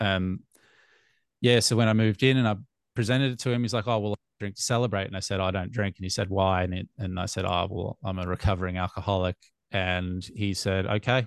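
With an Australian accent, a man speaks at a very fast pace and a fairly low pitch, his intonation fairly even. The sound is dry and close with no echo, over a quiet background. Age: 30s. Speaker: sobriety podcaster. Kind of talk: casual chat.

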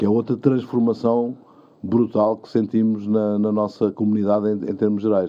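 Here a man talks at a moderate pace with a fairly low pitch and monotone, flat intonation. His loudness swings a lot. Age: 60s. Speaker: mayor. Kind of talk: interview.

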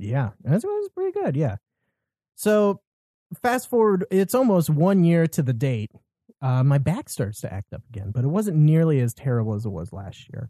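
This man has a fairly high, somewhat breathy voice with a dark, mellow tone and very wide pitch swings. He talks at a moderate pace, and the sound is dry and close with no echo. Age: 20s. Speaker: podcast host. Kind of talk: casual chat. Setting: home studio, in person.

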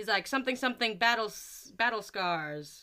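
A woman with an American accent speaks in a bright, sharp tone with ordinary pitch variation. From US. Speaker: podcast co-host, student. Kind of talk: casual chat. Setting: remote recording.

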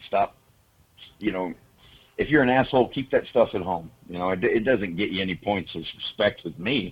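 A man's fairly low-pitched voice with a Southern US accent. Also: ordinary pitch variation, moderate pace. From Oklahoma, US. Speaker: horror filmmaker. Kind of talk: casual interview chat.

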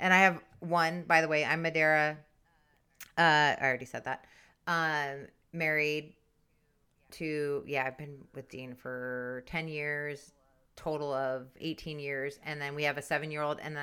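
Bright and sharp in tone, this monotone, flat delivery comes at a moderate pace with big swings in loudness, on a very clean recording with a silent background. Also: woman, very deep, low pitch for a woman. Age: 40s. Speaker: podcast co-host, mother. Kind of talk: casual chat. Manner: hesitant, many fillers.

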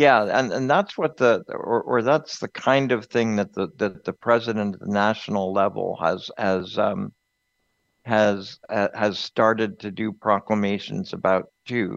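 Moving fairly slowly, an ordinary speaking voice shows ordinary pitch variation. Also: man, medium pitch for a man. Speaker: radio host. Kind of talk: casual chat.

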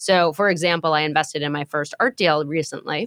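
With an American accent, a woman speaks at a moderate pace and with fairly even intonation, the sound dry and close with no echo. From New York. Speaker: marketing executive. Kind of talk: interview.

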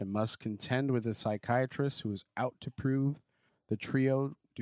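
This is an unforced reading voice set against a quiet background.

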